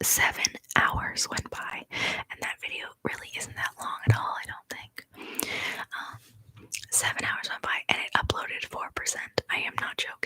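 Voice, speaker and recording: A woman whispers at a moderate pace, her loudness swinging widely, in a dry, close recording with no echo. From Canada. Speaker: ASMR youtuber. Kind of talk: casual live stream chat. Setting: live stream from home. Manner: soft-spoken.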